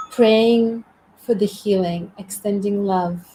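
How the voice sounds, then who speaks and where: Over noticeable background noise, a woman with a medium pitch speaks in a monotone, flat intonation. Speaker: community host. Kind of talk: live stream conversation. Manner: meditative.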